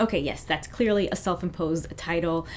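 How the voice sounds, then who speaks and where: Noticeable noise in the background accompanies speech delivered at a fairly quick pace. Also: woman. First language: not French; English speaker. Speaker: fashion YouTuber. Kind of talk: vlog commentary.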